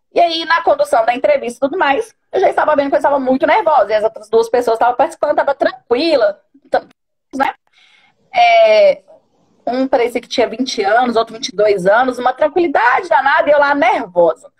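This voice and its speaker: Intonation lively and pace fairly quick, the words come out with plenty of melodic movement. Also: woman, high pitch for a woman. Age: 30s. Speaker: coaching client, bank business agent. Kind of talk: personal testimony in a live stream. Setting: online live stream. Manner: hesitant, many fillers.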